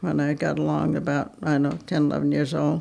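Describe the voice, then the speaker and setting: A woman is speaking. She has a New England accent. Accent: rural New England. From Vermont. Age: 90s. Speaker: interviewee. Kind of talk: reminiscence interview. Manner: halting.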